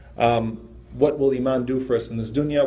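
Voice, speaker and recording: With vocal fry and a dark, mellow tone, a man talks at a fairly quick pace with fairly even intonation. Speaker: religious teacher. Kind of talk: lecture. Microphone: phone near.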